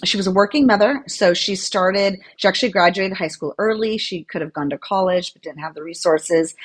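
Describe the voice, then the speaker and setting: Talking at a fairly quick pace with hardly any pauses, a woman uses an ordinary speaking voice at medium pitch, with ordinary pitch variation and big swings in loudness. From United States, daughter of Latin American immigrants. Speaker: corporate lawyer and author. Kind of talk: podcast interview.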